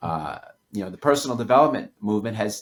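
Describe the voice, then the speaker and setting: With lively intonation, a man speaks in an American accent. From New York City. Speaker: author. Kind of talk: podcast interview.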